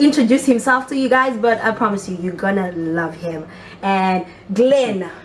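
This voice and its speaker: Lively intonation and an animated tone come through over noticeable background noise. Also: woman, medium pitch for a woman. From Zimbabwe. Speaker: talk show host. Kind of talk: casual interview chat. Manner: fast.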